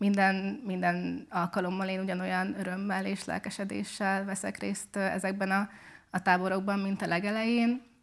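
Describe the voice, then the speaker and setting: Speaking at a medium pitch and moderate pace, a woman keeps her intonation monotone and flat. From southern Hungary, Szekszárd. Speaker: medical student and mentor. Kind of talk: interview. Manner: hesitant with frequent word repetitions.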